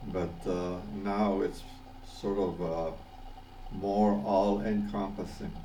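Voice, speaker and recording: At a very slow pace, a man talks in a fairly low, monotone, flat voice. Long, frequent pauses and audible room echo fill the clip. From Panama. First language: Spanish. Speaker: vlogger. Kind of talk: personal video message. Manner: halting, many fillers and repetitions.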